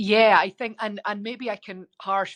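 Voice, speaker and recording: A woman talks at a moderate pace with a Scottish accent. The sound is dry and close with no echo, over a quiet background. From Scotland. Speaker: biotech executive and scientist. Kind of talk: interview. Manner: frequent filler ums.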